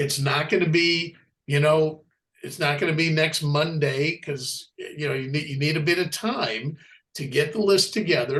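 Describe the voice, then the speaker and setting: A man's fairly high-pitched, plain, everyday voice at a moderate pace. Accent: American. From United States. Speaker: business team leader. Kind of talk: business coaching on a group call. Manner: repetitive, many restarts.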